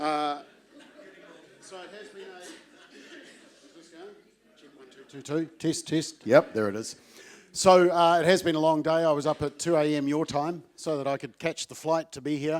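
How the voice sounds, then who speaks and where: A man with a New Zealand accent speaks at a moderate pace, his pitch fairly high and his intonation fairly even. His loudness swings widely, and he leaves long, frequent pauses. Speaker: advocacy group CEO. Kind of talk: conference speech. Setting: stage with audience.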